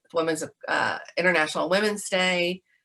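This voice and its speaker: A woman with a Georgia accent, medium pitch, bright, sharp tone, ordinary pitch variation, and moderate pace. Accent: Southern American (Georgia). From Augusta, Georgia. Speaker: museum educator, presidential library education specialist. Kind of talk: interview answer.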